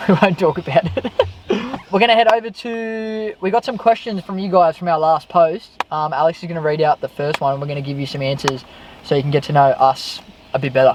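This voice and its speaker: Speaking very fast, a man with an Australian accent uses a high voice and lively intonation. Background noise is noticeable. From Western Sydney, Australia. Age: 20s. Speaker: YouTuber, car vlogger, electrician. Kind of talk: casual chat.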